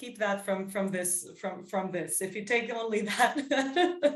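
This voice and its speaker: A somewhat breathy woman's voice, fairly high in pitch, very slow, with lively intonation. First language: Serbian and English (bilingual). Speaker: psychodrama workshop leader. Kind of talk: workshop discussion. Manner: halting.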